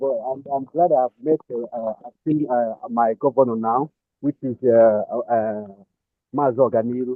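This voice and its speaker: Speaking at a fairly slow pace in a Nigerian accent, a man keeps a medium pitch and fairly even intonation while his loudness swings widely. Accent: Nigerian Igbo English. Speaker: caller. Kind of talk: call-in contribution. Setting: phone call. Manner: halting. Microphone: too quiet.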